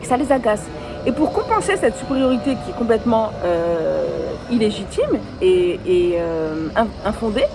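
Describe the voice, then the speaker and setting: An animated woman speaks at a fairly slow pace, with audible room echo and music in the background. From France, Nice. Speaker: entrepreneur and video blogger. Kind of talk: casual vlog talk to camera. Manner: animated, with hesitations and repetitions.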